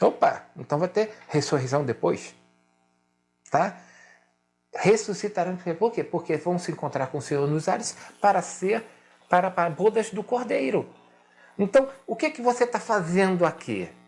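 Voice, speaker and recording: With lively intonation and a high pitch, a man speaks at a moderate pace with long, frequent pauses in a very clean recording over a silent background. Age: 60s. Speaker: pastor. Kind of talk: sermon. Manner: emphatic, repetitive.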